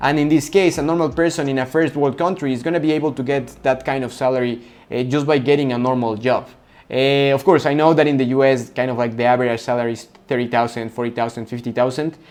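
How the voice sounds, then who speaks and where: A man with a Spanish accent, medium in pitch, very fast in pace, and fairly even in intonation. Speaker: coaching business consultant. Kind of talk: tutorial. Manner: halting, with repetitions.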